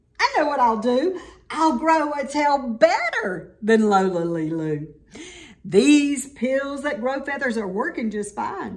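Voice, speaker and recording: Using a put-on character voice, a woman talks at a high pitch. Her delivery is fairly slow. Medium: read story. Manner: excitable, petulant.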